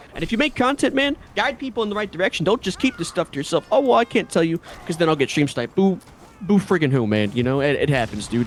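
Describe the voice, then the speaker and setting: A man's high voice with an American accent, very wide pitch swings and a very fast pace, amid noticeable background noise. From New York. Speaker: gamer and streamer. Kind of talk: podcast discussion. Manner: animated.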